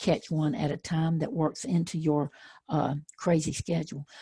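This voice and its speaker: With a Southern accent, a woman speaks at a moderate pace in a very deep, low, somewhat breathy voice with a dark, mellow tone and ordinary pitch variation, recorded dry and close with no echo. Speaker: educational trainer. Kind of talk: webinar presentation.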